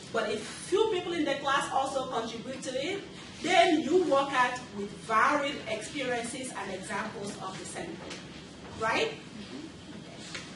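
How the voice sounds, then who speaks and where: With a non-native accent, a woman speaks high and fairly slowly, her pitch swinging very widely. Audible room echo and noticeable background noise are present. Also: big swings in loudness. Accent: foreign. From Nigeria. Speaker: nurse educator. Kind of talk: lecture. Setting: classroom.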